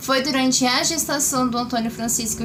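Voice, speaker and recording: A woman speaks at a high pitch. Audible room echo and noticeable background noise surround her voice. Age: 20s. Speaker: vlogger sharing cancer experience. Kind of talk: casual vlog talk to camera.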